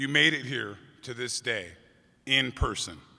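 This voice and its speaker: With an American accent, a man speaks amid audible room echo. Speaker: high school teacher, commencement speaker. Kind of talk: commencement speech. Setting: stage with audience, convention center.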